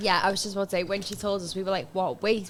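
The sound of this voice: A woman with a medium-pitched voice talks at a fast pace. Her intonation stays fairly even.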